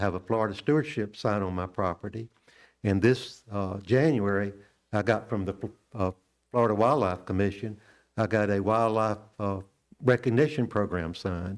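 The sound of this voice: Pitched fairly low, a man talks with ordinary pitch variation. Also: moderate pace.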